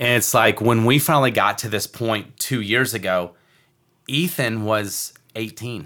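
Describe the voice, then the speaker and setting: With an American accent and a bright, sharp tone, a medium-pitched man speaks at a fairly slow pace with ordinary pitch variation on a very clean recording with a silent background. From Michigan. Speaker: real estate investor and podcast co-host. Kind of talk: casual chat.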